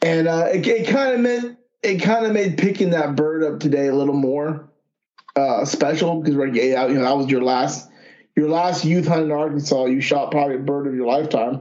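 A man's fairly high voice, an ordinary speaking voice, with very even loudness, a fairly quick pace and lively intonation. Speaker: podcast host, duck hunter. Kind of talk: casual chat.

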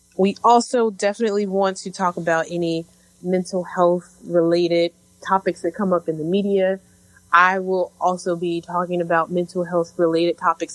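In a dry, close recording with no echo, a woman with a normal speaking voice speaks at a moderate pace, her fairly low pitch held in fairly even intonation. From Chicago. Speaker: podcast co-host. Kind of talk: casual chat.

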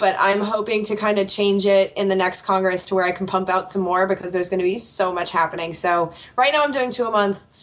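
With an American accent, a woman speaks at a very fast pace and medium pitch, with fairly even intonation and hardly any pauses, over noticeable background noise. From United States. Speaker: political podcast host. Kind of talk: interview.

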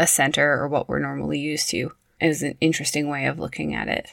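Speech with a western Canadian accent at a moderate pace, on a very clean recording with a silent background. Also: woman. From Prince George, British Columbia, Canada. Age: 30s. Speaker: early childhood educator and podcast host. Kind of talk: scripted solo podcast narration.

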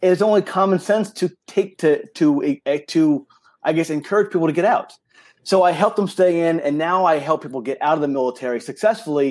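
Heard on a very clean recording with a silent background, a man with an American accent talks fairly quickly at a high pitch with ordinary pitch variation. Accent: slight New York accent, stronger when excited. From New York. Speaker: retired army career counselor, career coach. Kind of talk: casual interview. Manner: fast; animated.

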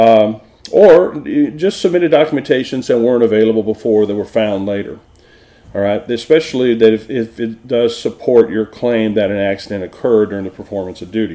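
A man talks at a fairly quick pace. His pitch is medium, with ordinary variation. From Texas. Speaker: workers' compensation consultant and podcast host. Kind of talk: educational tutorial.

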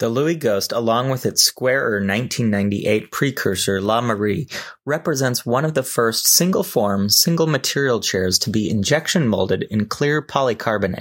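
A man with an ordinary speaking voice and a medium pitch talks at a moderate pace with lively intonation, very even loudness and hardly any pauses. The recording is very clean with a silent background. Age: 30s. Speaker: design podcast host. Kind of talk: scripted monologue.

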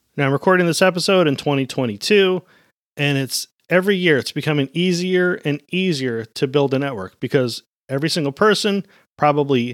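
A man's fairly high voice at a moderate pace, lively in intonation, dry and close with no echo, on a very clean recording with a silent background. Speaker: podcast host. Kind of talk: solo podcast monologue, coaching. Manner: upbeat, animated.

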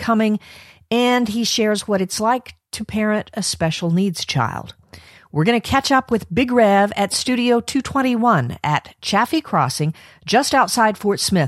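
A woman with a plain, everyday voice speaks fairly slowly at medium pitch with lively intonation, in a very clean recording with a silent background and a dry, close sound with no echo. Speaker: podcast host interviewer. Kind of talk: interview.

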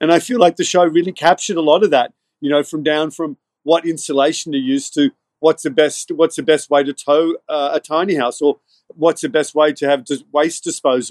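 A man with an American accent, fairly high pitch and ordinary pitch variation, at a fairly quick pace in a dry, close sound with no echo. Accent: Irish-Australian with American tinge. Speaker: filmmaker and director of photography. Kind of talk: interview.

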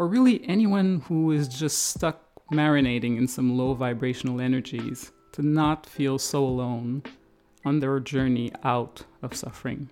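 A woman's very deep, low voice with a Quebec accent, dark and mellow in tone, at a moderate pace with ordinary pitch variation. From Quebec, Canada. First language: French. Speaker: podcast host, life coach and therapist. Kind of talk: casual monologue podcast.

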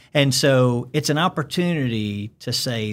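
A man speaks at a medium pitch with a Southern US accent. The recording is very clean, with a silent background. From Alabama. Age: 50s. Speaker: pastor. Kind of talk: casual interview chat. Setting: studio.

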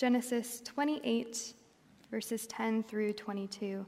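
A somewhat breathy woman's voice, fairly high, with monotone, flat intonation. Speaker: preacher. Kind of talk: sermon. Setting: church.

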